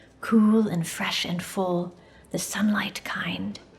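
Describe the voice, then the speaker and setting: At a very slow pace, a put-on character voice runs with fairly even intonation. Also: woman, medium pitch for a woman. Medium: read story.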